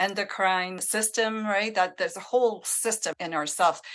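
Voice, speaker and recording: Against a quiet background, a woman with a French Canadian accent speaks at medium pitch in a bright, sharp tone with fairly even intonation. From Northern Ontario, francophone village. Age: 60s. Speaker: menopause coach. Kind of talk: interview conversation.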